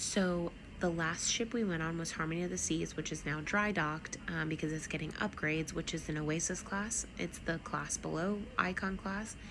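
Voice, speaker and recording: A soft-spoken woman talks at a moderate pace with hardly any pauses, her fairly low voice fairly even in intonation. Noticeable background noise sits behind her. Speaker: travel vlogger. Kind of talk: casual vlog review. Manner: soft-spoken, talking low; many filler ums.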